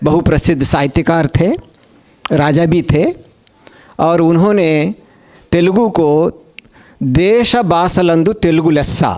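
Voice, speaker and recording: With long, frequent pauses, a man speaks at a high pitch and very even loudness over noticeable background noise. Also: ordinary pitch variation. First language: Telugu (speaking Hindi). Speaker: conference speaker on languages. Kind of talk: conference talk. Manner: formal, with hesitations.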